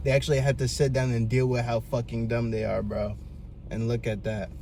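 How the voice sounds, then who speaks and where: Someone soft-spoken talks at a fairly quick pace, with audible room echo. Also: man. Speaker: vlogger giving life advice. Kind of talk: casual monologue. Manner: animated.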